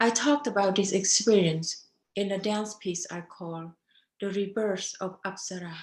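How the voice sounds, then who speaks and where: A woman with a Cambodian accent speaks at a moderate pace, her pitch in the medium range. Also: ordinary pitch variation, big swings in loudness. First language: Khmer. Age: 50s. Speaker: dancer. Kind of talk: testimony.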